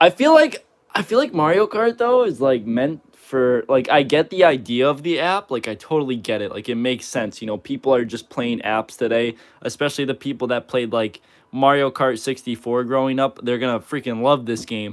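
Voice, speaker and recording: His pitch varies in an ordinary way as a man speaks at a moderate pace. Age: 20s. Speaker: gaming livestreamer. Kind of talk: casual live stream chat. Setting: live stream. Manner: casual, filler-heavy. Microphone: phone near.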